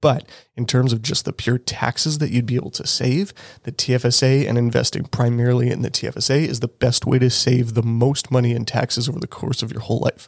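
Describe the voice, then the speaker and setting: A man with a Canadian accent talks at a fairly quick pace, his medium-pitched voice somewhat breathy. His intonation stays fairly even. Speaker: financial planner and podcast host. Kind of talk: educational solo podcast monologue. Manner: casual, conversational.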